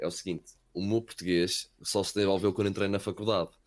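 A man with an unremarkable speaking voice talks at a fairly quick pace, his pitch fairly low and his intonation fairly even. The recording is very clean, with a silent background. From Wales, later Portugal. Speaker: esports caster. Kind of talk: casual chat.

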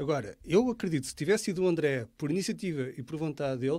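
At a very fast pace, a man talks in a fairly high pitch with ordinary pitch variation, in a very clean recording with a silent background. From Portugal, Leiria area. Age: 40s. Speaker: lawyer and local politician. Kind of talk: political interview on live podcast. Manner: halting, repeats words.

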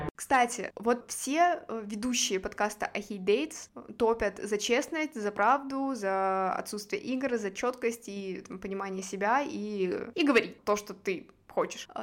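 On a very clean recording with a silent background, a woman with a fairly high pitch speaks at a very slow pace with lively intonation. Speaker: podcast host. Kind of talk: casual interview chat.

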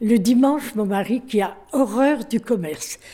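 Speaking at a fairly slow pace, a woman has a dark, mellow tone and lively intonation. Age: 80s+. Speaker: retired shopkeeper. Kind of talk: testimony. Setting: retirement residence.

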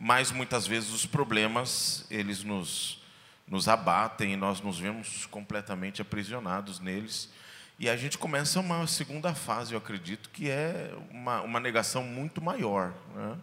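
A man talks at a fairly slow pace with an ordinary speaking voice. His pitch is medium and his intonation lively. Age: 40s. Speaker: pastor. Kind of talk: testimony. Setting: church stage with audience.

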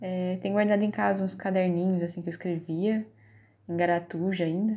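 A woman talks at a moderate pace with medium pitch and ordinary pitch variation. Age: 30s. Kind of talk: personal narrative. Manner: halting, many fillers.

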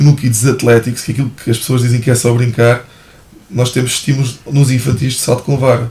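A man talks at a fairly quick pace in a medium pitch. His intonation stays monotone and flat. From Portugal, Ribatejo (Santarém/Almeirim). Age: 30s. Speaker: athletics coach. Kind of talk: casual interview.

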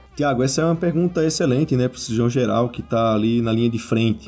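A man's voice of medium pitch has a dark, mellow tone and ordinary pitch variation. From Brazil, Natal. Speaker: surgical oncologist. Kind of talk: interview.

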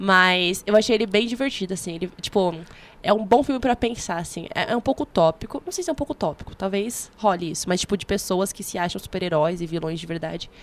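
The woman speaks with a medium pitch and lively intonation. Her pace is fairly quick. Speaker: podcast co-host. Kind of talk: casual chat. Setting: studio.

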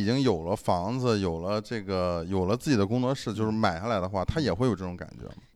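Speaking at a very fast pace, a man barely pauses at all. The recording is very clean, with a silent background. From Shandong, China. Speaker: podcast host. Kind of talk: casual chat.

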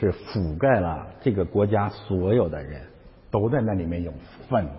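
There is audible room echo as a man speaks in an animated tone at a fairly low pitch and a moderate pace. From China. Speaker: pastor. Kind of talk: sermon.

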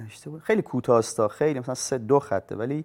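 A man with a normal speaking voice at a medium pitch and fairly quick pace, with ordinary pitch variation, on a very clean recording with a silent background. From Bushehr, southern Iran. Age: 30s. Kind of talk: personal monologue to camera. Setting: filmed in front of a camera.

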